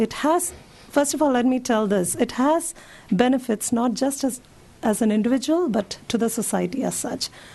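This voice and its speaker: This woman's voice sits high in pitch. Her pace is moderate. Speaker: physician giving a talk to seniors. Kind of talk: public health talk.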